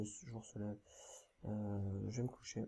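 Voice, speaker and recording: Very slow in pace, a man speaks in a fairly low pitch with a dark, mellow, somewhat breathy tone and fairly even intonation. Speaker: gaming YouTuber. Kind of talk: let's play commentary. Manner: hesitant, many filler sounds.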